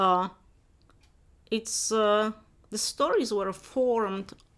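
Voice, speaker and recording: Her pitch varies in an ordinary way as the woman speaks. The background is silent and the recording very clean. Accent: Polish. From Poland, Upper Silesia. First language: Polish. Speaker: professor. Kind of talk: interview.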